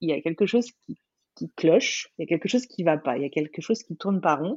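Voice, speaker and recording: A woman's normal speaking voice, fairly low in pitch, with lively intonation. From France, Burgundy near Dijon. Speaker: life coach and entrepreneur. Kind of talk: interview, casual chat.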